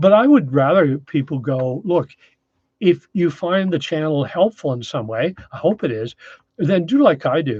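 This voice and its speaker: A man with a Canadian Maritime accent, lively intonation, and a moderate pace. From Maritime Canada, New Brunswick. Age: 60s. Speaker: off-grid YouTuber. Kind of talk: live stream chat. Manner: casual, hesitant with fillers.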